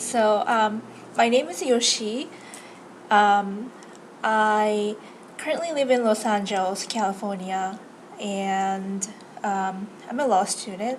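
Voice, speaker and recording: A woman with a Japanese accent speaks at a very slow pace, with long, frequent pauses and ordinary pitch variation. Her fairly high voice carries an audible room echo. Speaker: law student and vlogger. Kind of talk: casual vlog introduction. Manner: hesitant, many fillers.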